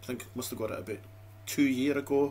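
Somewhat breathy, a man with a Dundee accent speaks over light background noise. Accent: Scottish (Dundee). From Scotland. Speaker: YouTube food reviewer. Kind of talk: casual vlog monologue. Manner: rambling, chatty. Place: home room. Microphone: webcam.

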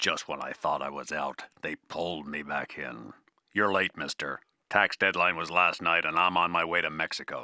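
A man puts on a character voice, very deep and low and raspy, speaking at a moderate pace with a dry, close sound and no echo. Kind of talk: hard-boiled voice-over. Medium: audio drama. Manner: wry, world-weary, deadpan.

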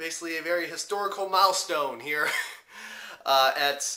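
Against a quiet background, a man talks at a moderate pace. His tone is bright and sharp, with ordinary pitch variation. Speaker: anime reviewer. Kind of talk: casual vlog chat. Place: home room.

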